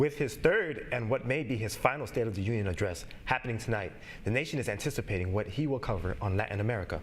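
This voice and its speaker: Over noticeable background noise, a man talks at a very fast pace in a medium pitch with ordinary pitch variation. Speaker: sports and news anchor/reporter. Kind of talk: studio news anchor delivery.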